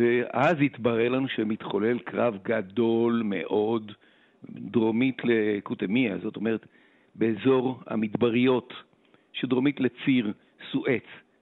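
Pausing long and often, a man talks very slowly at a medium pitch with fairly even intonation. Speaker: retired fighter pilot. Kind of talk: radio interview.

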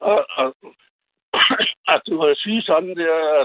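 A man's fairly high voice at a fairly slow pace. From Greenland. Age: 70s. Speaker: caller. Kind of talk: phone-in talk. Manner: halting.

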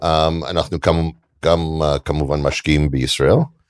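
A man's very deep, low voice with an English accent, fairly slow and dry and close with no echo. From Canada. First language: English (speaking Hebrew). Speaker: venture capital investor. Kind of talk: onstage interview.

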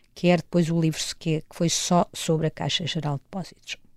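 A woman speaks at a moderate pace with fairly even intonation. Her pitch is fairly low. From Portugal, raised partly in Angola. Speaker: journalist. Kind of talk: interview. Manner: halting, frequent repetitions.

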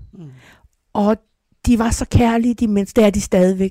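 The voice has a dark, mellow tone and fairly even intonation at a fairly quick pace. The sound is dry and close, with no echo. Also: woman. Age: 60s. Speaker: addiction counsellor and hypnotherapist. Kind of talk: personal testimony interview. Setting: greenhouse.

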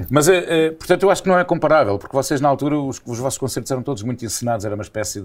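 A man talks at a very fast pace and medium pitch with lively intonation. His loudness swings widely. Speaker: radio presenter. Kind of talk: casual chat.

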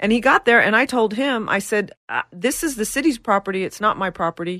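A woman with a plain, everyday voice at a fairly quick pace, ordinary pitch variation, and a dry, close sound with no echo. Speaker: business owner. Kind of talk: casual chat. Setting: studio.

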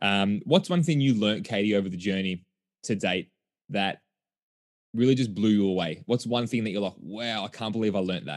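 Against a quiet background, this speaker talks at a fairly quick pace with an Australian accent, an animated tone and ordinary pitch variation. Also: man, fairly low pitch for a man. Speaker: podcast host. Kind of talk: podcast interview.

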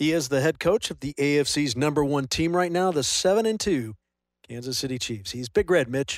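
A man with a plain, everyday voice talks at a moderate pace in a fairly high pitch, with lively intonation. The recording is very clean, with a silent background. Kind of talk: sideline interview with reporter questions. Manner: measured, professional, clear.

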